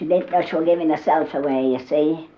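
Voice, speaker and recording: A woman with a West Yorkshire accent, very deep and low in pitch, at a moderate pace, with noticeable background noise. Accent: broad West Yorkshire dialect. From Yorkshire, Holmfirth area. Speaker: dialect humorist, storyteller. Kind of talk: humorous storytelling. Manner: chatty, conversational.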